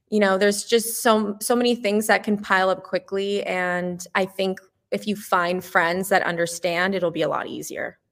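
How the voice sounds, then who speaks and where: At a moderate pace, a woman speaks in an ordinary speaking voice with a medium pitch. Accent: American. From US, Iranian American family. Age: 20s. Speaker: cafe owner. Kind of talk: casual interview. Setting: video call.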